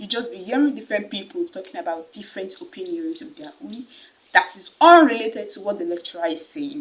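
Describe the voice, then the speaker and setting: A woman in a Nigerian accent at a fairly quick pace, fairly high in pitch, with very wide pitch swings and big swings in loudness. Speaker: university student vlogger. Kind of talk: casual advice vlog. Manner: fast; animated.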